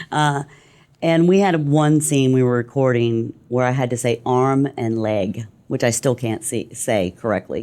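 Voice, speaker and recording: A fairly slow pace with a slight Texas accent. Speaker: voice actor.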